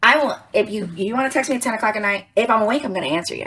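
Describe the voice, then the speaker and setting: A woman's lively intonation at a very fast pace. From Georgia. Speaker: real estate agent. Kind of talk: casual chat.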